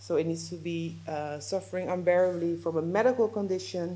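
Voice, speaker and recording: Lively intonation and a dark, mellow tone mark this moderately paced voice with a Dutch accent, heard with audible room echo. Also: woman. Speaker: legal adviser. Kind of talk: lecture. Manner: halting, with fillers and self-corrections.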